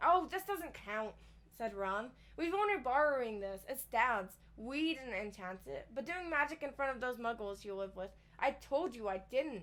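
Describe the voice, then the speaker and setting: Her high voice swings very widely in pitch as the woman speaks. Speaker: book reader streamer. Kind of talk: reading aloud. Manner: fast; slurring words.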